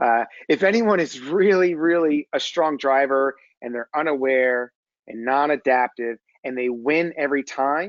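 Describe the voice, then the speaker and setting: This man has a slight New Jersey accent and a fairly high pitch, talking at a moderate pace with ordinary pitch variation. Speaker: executive coach. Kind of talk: webinar presentation. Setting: webinar.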